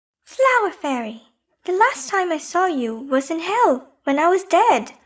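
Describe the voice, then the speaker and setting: A woman's squeaky, put-on character voice at an extremely high pitch, with very wide pitch swings and a moderate pace. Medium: audio drama. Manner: courteous, earnest.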